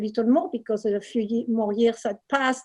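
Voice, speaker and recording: A woman speaks with a French accent at a fairly high pitch. Her tone is dark and mellow, and her intonation stays fairly even. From southern France, Marseille. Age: 70s. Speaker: painter and author. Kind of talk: book reading. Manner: halting.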